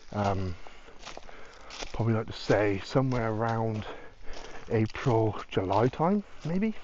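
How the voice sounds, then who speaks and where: With a British accent, a man talks at a fairly slow pace and a medium pitch. Long, frequent pauses break up his speech, and his pitch varies in an ordinary way. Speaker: urban explorer vlogger. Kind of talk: casual vlog commentary. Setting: outdoors. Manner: whispering.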